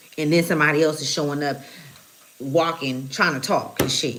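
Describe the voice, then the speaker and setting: Over noticeable background noise and audible room echo, a woman with a very deep, low pitch speaks at a fairly quick pace with fairly even intonation. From Oakland, California. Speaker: spiritual reader / channeler. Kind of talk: live tarot channeling stream. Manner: casual, profane, conversational.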